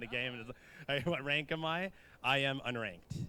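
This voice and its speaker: A man speaks in a bright, sharp tone. His pitch is medium. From Canada. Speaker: esports event host, Smash player. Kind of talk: live event hosting.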